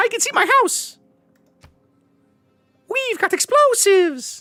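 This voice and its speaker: A squeaky, put-on character voice at an extremely high pitch and fairly slow pace, with faint music in the background. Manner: excited, comic.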